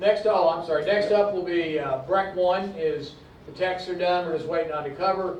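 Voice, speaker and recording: A man speaks with a high pitch. Noticeable background noise and audible room echo fill the recording. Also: fairly even intonation, moderate pace. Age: 60s. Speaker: publisher and former oil field engineer, convention panelist. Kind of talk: convention panel talk. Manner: halting, many fillers and restarts.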